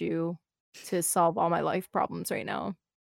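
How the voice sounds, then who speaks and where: A soft-spoken woman, dry and close with no echo, on a very clean recording with a silent background. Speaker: Twitch streamer. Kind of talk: casual interview conversation.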